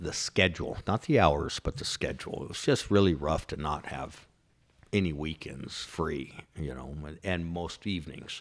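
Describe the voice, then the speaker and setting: A man with an American accent speaks with vocal fry and lively intonation on a very clean recording with a silent background. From Southern California, Orange County. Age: 50s. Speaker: business owner. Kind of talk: casual interview. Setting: office.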